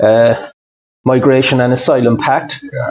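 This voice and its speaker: The sound is dry and close, with no echo. A man speaks at a medium pitch in a monotone, flat delivery. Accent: Irish. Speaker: interviewer, financial adviser. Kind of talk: interview question.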